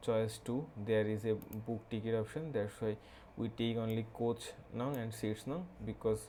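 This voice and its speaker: A man with a Bengali accent speaks at a moderate pace and medium pitch, his dark, mellow tone carrying fairly even intonation. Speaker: programming tutorial creator. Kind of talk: tutorial. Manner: halting, many fillers.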